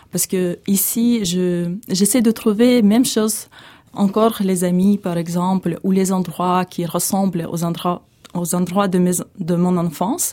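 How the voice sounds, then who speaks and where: A woman talks at a very slow pace in a dark, mellow tone. Her intonation is fairly even. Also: medium pitch for a woman. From eastern Ukraine (Donbas). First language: Russian or Ukrainian (speaking French). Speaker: refugee. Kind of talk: testimony. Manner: halting.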